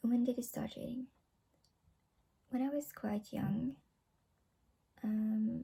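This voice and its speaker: The pace is very slow. Long, frequent pauses break up the speech. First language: not English. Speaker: book vlogger. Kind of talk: casual vlog monologue. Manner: halting.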